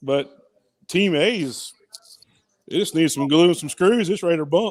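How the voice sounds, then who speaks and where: A man's mumbling in a Southern US accent, high-pitched, at a moderate pace. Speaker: hobby woodworker. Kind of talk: casual chat. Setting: live stream from a workshop at a maker meetup.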